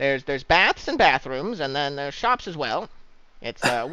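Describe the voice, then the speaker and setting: Using a put-on character voice, a man talks at a moderate pace with a fairly high pitch and lively intonation. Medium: actual play. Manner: officious, penny-pinching.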